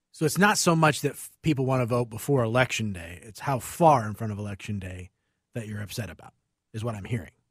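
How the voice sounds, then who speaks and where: In a very clean recording with a silent background, a man talks very fast at a medium pitch, somewhat breathy, with lively intonation. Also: big swings in loudness. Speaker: radio co-host. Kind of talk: casual chat. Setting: studio.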